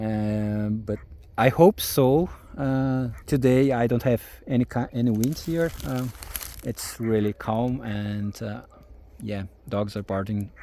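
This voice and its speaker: A man with a strong Brazilian accent, medium pitch and ordinary pitch variation, very slow pace, long and frequent pauses. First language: German and Portuguese. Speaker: farmer. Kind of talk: casual vlog talk. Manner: halting, many fillers.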